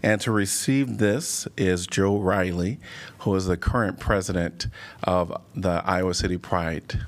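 At a fairly slow pace, a man with a very deep, low pitch speaks with ordinary pitch variation and very even loudness. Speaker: mayor chairing city council. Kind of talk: formal public meeting proceedings. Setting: city council chamber.

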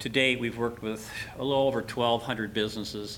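He has a plain, everyday voice, pitched fairly low. The man keeps a fairly quick pace and fairly even intonation. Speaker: entrepreneurship center director. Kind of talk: public meeting presentation. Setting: meeting room.

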